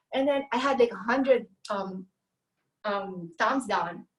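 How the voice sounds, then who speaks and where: Her pitch is fairly high, with ordinary variation. The woman speaks at a fairly slow pace. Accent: non-native. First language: not English. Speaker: carnivore diet youtuber. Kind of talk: casual interview chat. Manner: halting, translating thoughts while speaking.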